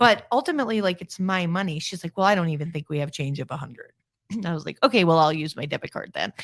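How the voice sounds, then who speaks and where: Talking very fast with an American accent, a woman with a fairly low pitch sounds animated, using lively intonation and big swings in loudness, in a dry, close sound with no echo and a quiet background. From New York. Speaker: charity founder and author. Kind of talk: interview conversation.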